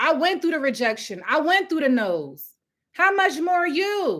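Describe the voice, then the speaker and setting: Shouting loudly in an extremely high pitch, a woman speaks at a moderate pace with an animated tone. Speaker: housing program founder and business coach. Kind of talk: live-stream business training. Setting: livestream, different setup. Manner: loud, yelling with passion.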